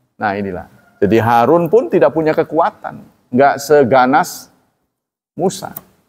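Faint music plays behind a man who speaks fairly slowly at a fairly high pitch, with long, frequent pauses. His pitch swings very widely. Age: old. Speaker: Islamic preacher; religious teacher. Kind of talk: religious lecture. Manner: casual, conversational. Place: church. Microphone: studio mic.

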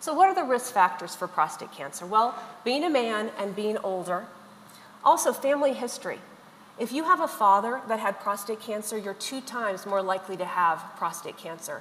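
Against light background noise, a woman with a fairly high voice speaks at a moderate pace, her loudness swinging widely. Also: lively intonation. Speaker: urologist. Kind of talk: lecture. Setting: online webinar. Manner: formal. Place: hall. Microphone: podium.

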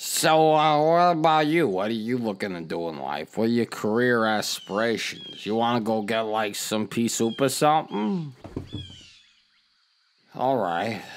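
Using a put-on character voice of medium pitch, a man speaks at a moderate pace with long, frequent pauses. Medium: audio drama. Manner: cheerful, chatty, oblivious.

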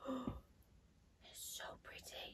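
A woman with a dark, mellow tone talks at a fairly slow pace, sounding somewhat breathy. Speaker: collector vlogger. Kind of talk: casual unboxing vlog chat. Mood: delighted, gushing. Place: home room.

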